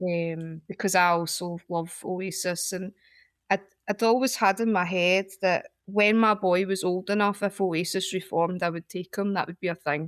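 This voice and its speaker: A woman with a Glaswegian accent speaks with fairly even intonation in a dry, close sound with no echo, on a very clean recording with a silent background. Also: medium pitch for a woman, moderate pace. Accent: Glaswegian Scottish. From Scotland, Glasgow. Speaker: poet. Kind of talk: casual chat.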